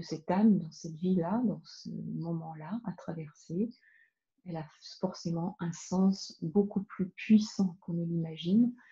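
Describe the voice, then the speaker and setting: A soft-spoken woman talks at a very slow pace. Her loudness swings widely from moment to moment. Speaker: spiritual card reader. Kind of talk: spiritual card reading talk.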